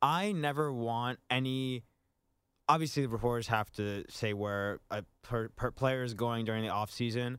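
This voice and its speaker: A man speaks in a normal speaking voice at a medium pitch and moderate pace with ordinary pitch variation. The recording is very clean with a silent background. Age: 20s. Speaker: radio show producer. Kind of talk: casual chat.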